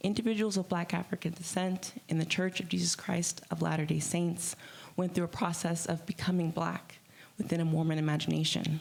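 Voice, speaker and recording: A woman talks at a fairly quick pace in a fairly low voice with vocal fry. Her intonation is flat and monotone, and her loudness stays very even. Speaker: writer and womanist scholar. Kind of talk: conference talk. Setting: conference stage with audience.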